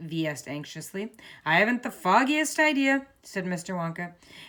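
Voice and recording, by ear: A natural voice, reading aloud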